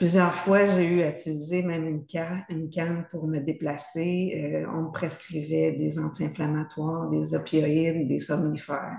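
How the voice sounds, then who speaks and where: In a normal speaking voice, a woman talks at a fairly slow pace with fairly low pitch and fairly even intonation. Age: 60s. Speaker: patient. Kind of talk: testimony.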